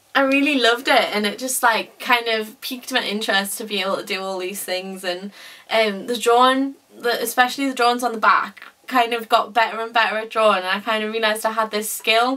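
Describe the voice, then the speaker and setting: A woman with a fairly high pitch and a bright, sharp tone, speaking at a moderate pace. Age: 20s. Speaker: former dyslexia student. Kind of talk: testimony. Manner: loud; animated.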